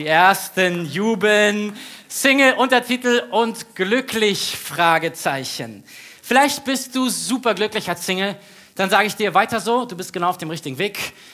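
Projecting a raised voice, a man speaks at a high pitch and fairly slow pace with lively intonation. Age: 30s. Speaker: pastor. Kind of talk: sermon. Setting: church stage with audience.

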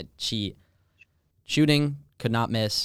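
The recording is very clean, with a silent background. A man with an American accent speaks with fairly even intonation. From Westchester, New York. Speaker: student sports editor and co-host. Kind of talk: casual chat. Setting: studio.

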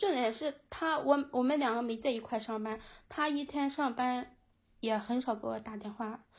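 A woman's high voice moves at a moderate speed, with ordinary shifts in pitch. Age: 30s. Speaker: caller. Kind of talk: phone-in advice call. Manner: halting.

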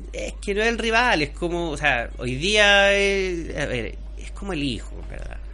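Audible room echo surrounds a man who speaks with a Chilean accent at a fairly slow pace. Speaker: sports journalist and author. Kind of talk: casual chat. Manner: halting.

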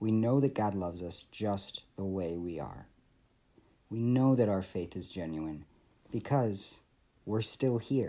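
With an American accent, a man speaks at a fairly slow pace with long, frequent pauses, his fairly low voice dark and mellow in tone. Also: ordinary pitch variation. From Michigan. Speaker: PhD student giving scripture reflection. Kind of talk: devotional reflection. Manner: earnest, measured.

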